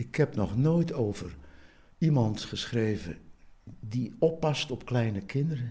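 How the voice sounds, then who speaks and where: Here a man talks at medium pitch with ordinary pitch variation. His voice is somewhat breathy, with a dark, mellow tone. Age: 70s. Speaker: poet. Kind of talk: casual chat. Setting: at his home.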